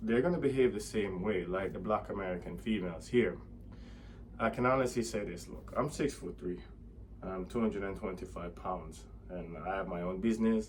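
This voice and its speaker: In a room with audible echo, a man speaks with a very deep, low pitch and vocal fry. His pitch swings very widely. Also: moderate pace. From Jamaica. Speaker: vlogger. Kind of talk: opinion monologue.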